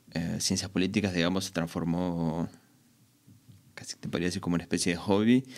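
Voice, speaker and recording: The pace of this man's speech is fairly quick. His pitch is very deep and low. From Argentina. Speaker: electronic music producer. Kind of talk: casual interview. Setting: studio.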